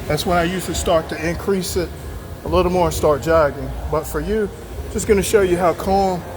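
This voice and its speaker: A man's fairly quick speech is accompanied by noticeable background noise. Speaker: fitness vlogger. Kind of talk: casual walkthrough vlog while exercising. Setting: on a treadmill.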